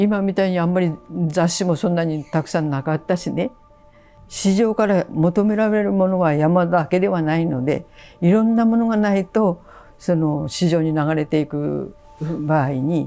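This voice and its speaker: Behind the woman, music is playing. She keeps a moderate pace and ordinary pitch variation. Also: fairly low pitch for a woman. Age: 80s+. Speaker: traditional washi paper artisan. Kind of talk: interview answer.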